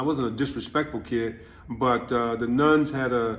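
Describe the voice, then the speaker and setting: A man's voice at a moderate pace with fairly even intonation and audible room echo. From Louisiana. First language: Louisiana French Creole. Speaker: community elder interviewee. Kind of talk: interview testimony. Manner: halting with many fillers.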